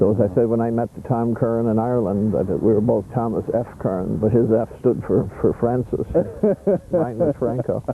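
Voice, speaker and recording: Speaking at a moderate pace and medium pitch, a man has a plain, everyday voice with ordinary pitch variation. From Canada, Prince Edward Island. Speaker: interviewee, family reunion member. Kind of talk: interview.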